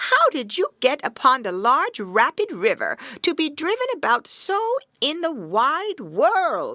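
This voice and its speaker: In a put-on character voice that sounds female, the speaker uses a high pitch, a warm tone, very wide pitch swings, and a fairly slow pace. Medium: read story. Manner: warm, coaxing.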